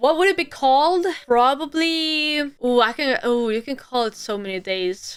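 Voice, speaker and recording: A woman speaks at a fairly slow pace in a Swedish accent, her pitch high. Her tone is animated and her intonation lively. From Sweden. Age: 20s. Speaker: streamer. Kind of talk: casual Q&A video.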